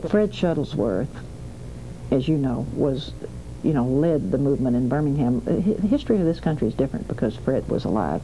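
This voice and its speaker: With noticeable background noise around her, a woman talks at a fairly quick pace in a very deep, low voice that makes very wide pitch swings. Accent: Southern US. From US South, Alabama. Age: 60s. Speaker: civil rights activist. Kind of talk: interview testimony.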